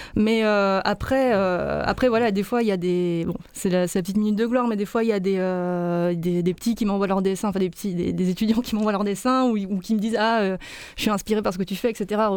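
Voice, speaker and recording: In a plain, everyday voice, a woman speaks at medium pitch and a moderate pace, with very even loudness, hardly any pauses and fairly even intonation. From Lyon, France. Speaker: illustrator. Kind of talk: interview.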